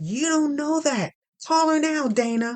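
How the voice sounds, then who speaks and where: A woman's put-on character voice, high in pitch, at a fairly slow pace with ordinary pitch variation, in a dry, close sound with no echo. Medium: audio drama. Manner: warm, soothing.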